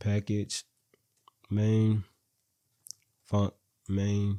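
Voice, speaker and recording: A man's fairly low voice, dark and mellow in tone, in a very clean recording with a silent background and a dry, close sound with no echo. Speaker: programming instructor. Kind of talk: tutorial. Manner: halting, with many repeated words.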